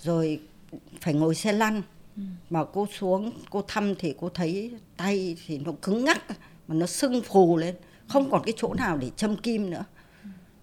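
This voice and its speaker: The delivery is fairly slow, with long, frequent pauses. Intonation is lively. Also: woman, medium pitch for a woman. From northern Vietnam. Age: 60s. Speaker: retired television worker. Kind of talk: interview.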